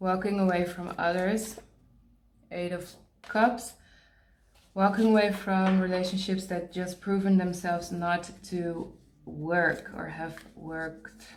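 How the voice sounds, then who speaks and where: With a non-native accent and audible room echo, a woman at medium pitch speaks at a very slow pace in a monotone, flat intonation, with long, frequent pauses and big swings in loudness. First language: not English. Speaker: tarot reader. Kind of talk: tarot card reading. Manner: halting, pauses to search for words; casual, conversational.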